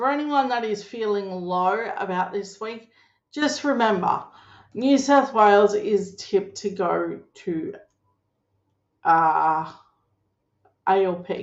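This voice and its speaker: Very slowly, a woman speaks with long, frequent pauses. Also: medium pitch for a woman, lively intonation. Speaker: political commentator. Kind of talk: casual political commentary. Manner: loud; animated.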